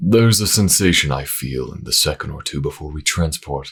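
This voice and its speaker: A man puts on a character voice with a very deep, low pitch. He talks at a fairly quick pace. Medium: read story.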